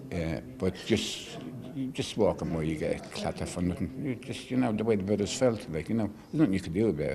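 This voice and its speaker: A man with an Irish accent and a fairly low pitch speaks at a very fast pace with lively intonation over noticeable background noise. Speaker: care-home survivor. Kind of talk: TV interview testimony.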